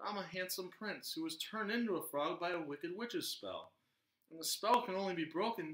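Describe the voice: Quiet background behind plain reading aloud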